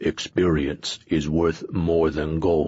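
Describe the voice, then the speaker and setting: This put-on character voice rumbles along at a very slow pace. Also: man. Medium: read story. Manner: terse, grunting.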